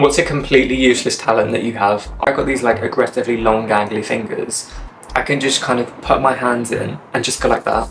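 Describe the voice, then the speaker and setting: Someone talks at a fairly quick pace with an English accent and fairly even intonation. Noticeable background noise runs under the voice. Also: man, medium pitch for a man. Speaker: YouTuber. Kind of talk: casual chat. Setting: summer house. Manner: soft-spoken.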